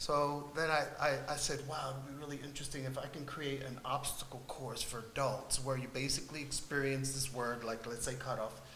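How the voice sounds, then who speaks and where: Over noticeable background noise and audible room echo, a man talks at a fairly quick pace with hardly any pauses. His voice is fairly high in pitch, with monotone, flat intonation. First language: Spanish. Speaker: artist on a panel. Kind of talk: panel discussion. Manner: halting, many fillers.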